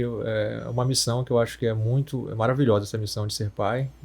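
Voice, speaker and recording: Somewhat breathy and dark, mellow in tone, a man talks at a moderate pace with fairly even intonation. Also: very clean recording, silent background. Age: 30s. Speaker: radiologist. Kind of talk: podcast conversation.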